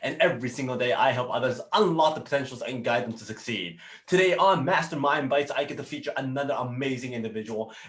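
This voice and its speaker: A man talks at a very fast pace with hardly any pauses and big swings in loudness. Noticeable background noise runs underneath. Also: medium pitch for a man, ordinary pitch variation. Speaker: business coach. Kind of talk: casual talk to camera.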